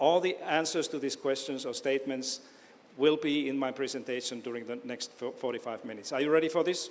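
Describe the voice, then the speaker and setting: Someone with a Finnish accent speaks at a fairly quick pace with ordinary pitch variation, and room echo can be heard. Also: man, fairly high pitch for a man. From Finland, Oulu. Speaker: education professor. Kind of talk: lecture. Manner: halting.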